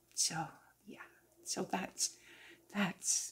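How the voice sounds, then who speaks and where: A woman speaks in a somewhat breathy voice. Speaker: crochet and knitting vlogger. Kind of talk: casual chat. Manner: slow.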